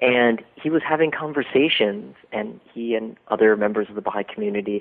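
Here a man speaks with a Midwestern US accent. His pitch variation is ordinary. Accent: General American, Midwestern. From US Midwest, Dayton, Ohio. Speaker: documentary filmmaker and doctoral student. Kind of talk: interview. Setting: phone call.

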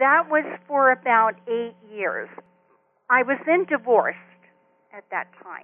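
With an American accent, a woman speaks at a high pitch with lively intonation, big swings in loudness and long, frequent pauses. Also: fairly slow pace. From US West Coast (Compton, Los Angeles area). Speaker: retired hospice social worker and children's author. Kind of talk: interview. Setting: phone call.

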